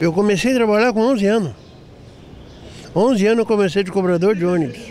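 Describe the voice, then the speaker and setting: Talking at a very fast pace, a man keeps a high pitch and very even loudness. Noticeable background noise is present. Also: ordinary pitch variation. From Porto Alegre, Brazil. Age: 60s. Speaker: elderly interviewee. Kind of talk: life story interview.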